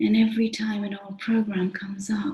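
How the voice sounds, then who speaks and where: A woman's calm, somewhat breathy voice with a dark, mellow tone at a fairly slow pace. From United Kingdom. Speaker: meditation guide. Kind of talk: guided meditation. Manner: slow, calm.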